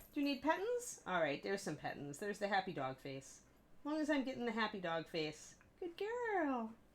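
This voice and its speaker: A put-on character voice moves along at a fairly quick pace. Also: female-sounding voice, fairly high pitch for a woman. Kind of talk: baby-talk style. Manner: happy, cooing, affectionate.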